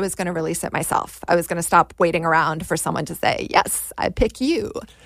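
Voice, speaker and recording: A woman's fairly low voice with vocal fry and an American accent, at a moderate pace, on a very clean recording with a silent background. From Washington, D.C. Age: 40s. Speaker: screenwriter and actor. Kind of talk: casual chat.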